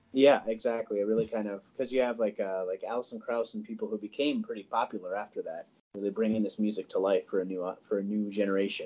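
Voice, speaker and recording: Talking at a very fast pace, a man speaks with an Upper Midwest accent. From rural North Dakota. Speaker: historian. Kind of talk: casual chat. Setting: call recording.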